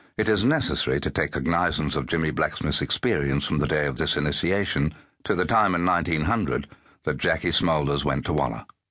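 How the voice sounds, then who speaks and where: Speaking at a very fast pace, a man with a very deep, low pitch uses a bright, sharp tone and vocal fry, keeping very even loudness and ordinary pitch variation. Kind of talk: audiobook narration, unabridged literary reading. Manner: measured, formal, even-paced storytelling.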